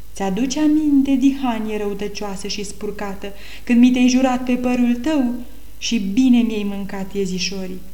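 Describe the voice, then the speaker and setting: Speaking at a fairly slow pace with ordinary pitch variation, a woman is heard over noticeable background noise. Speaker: storyteller reading folk tale. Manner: animated, playful, lively character voices, storyteller cadence.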